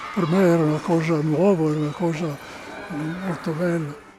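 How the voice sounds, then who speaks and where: Over noticeable background noise, a man with a high pitch speaks at a fairly quick pace in a monotone, flat intonation. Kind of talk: interview answer.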